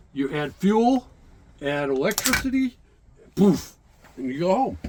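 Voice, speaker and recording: Loud and fairly slow, a man talks in a high pitch with very wide pitch swings. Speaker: museum docent and navy veteran navigator. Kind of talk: guided tour explanation. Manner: halting.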